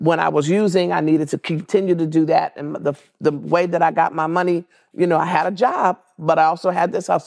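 In a normal speaking voice, a woman with an American accent speaks at a fairly quick pace and a fairly low pitch, with fairly even intonation, on a very clean recording with a silent background. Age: 60s. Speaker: marriage and family therapist. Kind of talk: interview.

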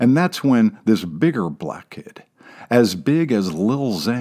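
What you hear is an unforced reading voice.

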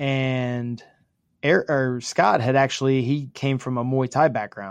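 A man's normal speaking voice at a medium pitch with fairly even intonation. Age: 40s. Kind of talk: casual interview chat.

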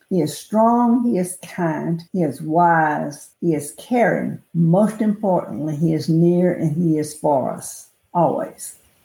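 In an American accent, the speaker talks very slowly with hardly any pauses, the tone dark and mellow, somewhat breathy, and the intonation lively. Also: woman, fairly low pitch for a woman. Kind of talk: reading aloud.

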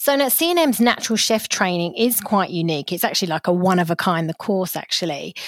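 Very fast and with hardly any pauses, a woman talks with lively intonation and very even loudness. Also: medium pitch for a woman. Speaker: podcast host. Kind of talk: interview, scripted intro.

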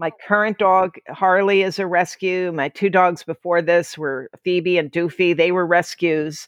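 Against a quiet background, a woman with an American accent uses a normal speaking voice at a fairly low pitch, with fairly even intonation, a fairly slow pace, hardly any pauses and a dry, close sound with no echo. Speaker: author. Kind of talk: interview.

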